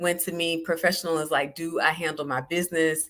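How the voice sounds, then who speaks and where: Bright and sharp in tone, this voice carries a Southern US accent at a moderate pace on a very clean recording with a silent background. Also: woman. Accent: Southern US, country. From US South, South Georgia. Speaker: life coach. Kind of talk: solo live podcast talk. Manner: casual, conversational.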